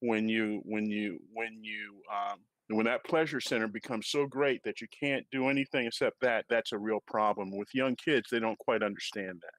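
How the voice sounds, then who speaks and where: A plain, everyday voice moves at a moderate pace with hardly any pauses and ordinary pitch variation, recorded with a dry, close sound with no echo against a quiet background. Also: man, medium pitch for a man. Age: 60s. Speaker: gamer and gaming clan founder. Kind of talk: casual panel discussion.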